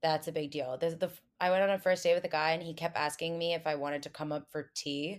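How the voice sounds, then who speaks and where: A woman with an American accent talks very fast in a fairly low pitch with monotone, flat intonation, on a very clean recording with a silent background. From New Jersey. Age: 20s. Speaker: lifestyle influencer, former podcast producer. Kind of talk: casual chat.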